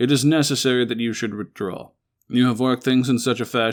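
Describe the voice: Plain reading aloud with fairly even intonation and a quiet background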